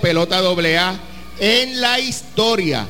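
A man's raised, projected voice, high-pitched, with ordinary pitch variation, noticeable background noise and audible room echo. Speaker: sports radio host. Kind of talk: sports talk show. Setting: stadium lobby, live event.

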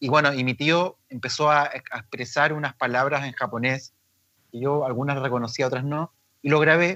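A man speaks at a moderate pace in a fairly high pitch, his tone bright and sharp. His intonation is fairly even, and the sound is dry and close with no echo. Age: 40s. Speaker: aikido teacher and therapist. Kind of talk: casual interview.

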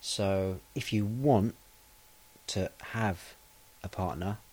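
A man talks in a relaxed tone with an English accent. His pitch sits fairly low. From England. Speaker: podcast host for English learners. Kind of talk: casual monologue. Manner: relaxed, hesitant with fillers.

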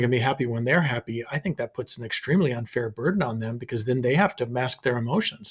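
A man talks with a medium pitch and ordinary pitch variation, somewhat breathy. The recording is very clean with a silent background. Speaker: psychologist and podcast co-host. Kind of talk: casual chat.

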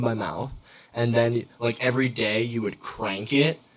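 A man speaks in an unremarkable speaking voice at a medium pitch. His pace is fairly slow. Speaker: podcast host. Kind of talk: casual chat. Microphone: echoey audio from poorly set up mic.

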